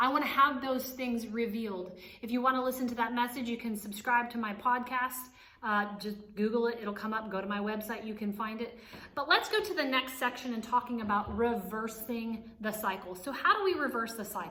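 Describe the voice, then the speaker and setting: A woman's fairly high voice at a fairly quick pace, with ordinary pitch variation, noticeable background noise and audible room echo. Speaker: author and life coach. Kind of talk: motivational teaching. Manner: fast.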